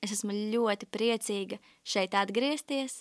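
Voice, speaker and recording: A woman speaks at medium pitch. The recording is very clean, with a silent background. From Latvia, Riga. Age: 20s. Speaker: ministry school student. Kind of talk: testimony. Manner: halting.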